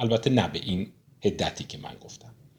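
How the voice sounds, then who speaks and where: This is a man talking. There is a somewhat breathy quality to his voice. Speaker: book discussion host. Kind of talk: lecture.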